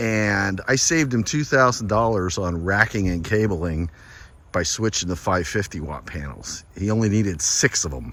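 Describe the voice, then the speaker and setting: Speaking at a moderate pace with lively intonation, a man has a fairly low pitch and an unremarkable speaking voice. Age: 60s. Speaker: solar installer and seller. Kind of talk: casual video walkthrough and sales pitch. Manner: casual, conversational.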